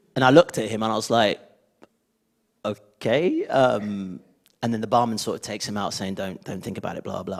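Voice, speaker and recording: Speaking with a Birmingham accent, a man moves at a fairly quick pace but takes long, frequent pauses. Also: medium pitch for a man, ordinary pitch variation. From Birmingham, England. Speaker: former children's TV presenter. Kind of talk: panel discussion. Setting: stage with audience.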